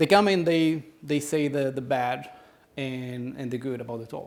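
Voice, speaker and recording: With audible room echo, a man speaks at a medium pitch and a moderate pace with ordinary pitch variation. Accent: Brazilian. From Brazil. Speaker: conference speaker. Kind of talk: conference talk with audience Q&A. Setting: stage with audience. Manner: halting, many repetitions.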